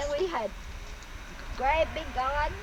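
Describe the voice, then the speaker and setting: Lively in intonation, a woman with a Southern US accent speaks over noticeable background noise. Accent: Southern US (Georgia). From Dallas, Georgia, USA. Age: 80s+. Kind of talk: oral history interview answer. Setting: outdoors.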